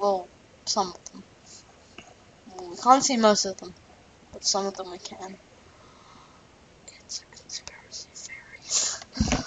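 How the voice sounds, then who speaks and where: A woman is whispering at a fairly slow pace with long, frequent pauses and big swings in loudness, against noticeable background noise. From Australia. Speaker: physics tutor. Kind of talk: tutorial. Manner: animated.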